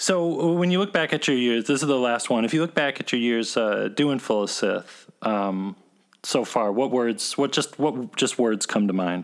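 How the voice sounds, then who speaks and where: A man with an ordinary speaking voice talks in an American accent at a medium pitch. His pace is moderate and his loudness very even. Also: lively intonation. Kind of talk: casual interview chat. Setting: remote call interview.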